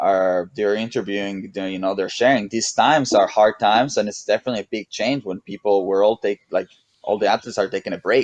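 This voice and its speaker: A man's fairly low voice in a strong Mexican accent, fairly even in intonation and fairly quick in pace. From Mexico. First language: Spanish. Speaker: SUP racer and surfer. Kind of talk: casual chat. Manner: halting, many repetitions.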